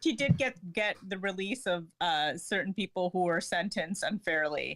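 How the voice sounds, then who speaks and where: At a moderate pace, a woman talks in an ordinary speaking voice whose medium pitch varies in an ordinary way. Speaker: journalist. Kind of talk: casual chat.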